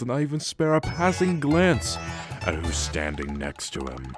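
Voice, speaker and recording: A man does a put-on character voice with very wide pitch swings. He goes at a fairly slow pace over faint music in the background. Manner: drawling, smirking.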